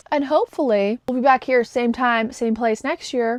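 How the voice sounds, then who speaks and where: Dry and close with no echo, the recording captures a woman talking fairly quickly in an animated tone at a fairly high pitch. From Canada. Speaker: book vlogger. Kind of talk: casual vlog chat. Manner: fast.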